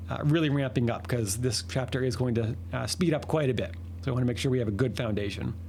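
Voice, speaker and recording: A man's medium-pitched, somewhat breathy voice at a very fast pace, with lively intonation and audible room echo. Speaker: math teacher. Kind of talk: lecture. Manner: halting.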